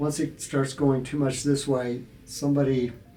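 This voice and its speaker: Music plays in the background behind a man. He has an American accent and a fairly high pitch. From Nebraska, USA. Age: 70s. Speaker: musician and composition professor. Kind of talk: interview answer.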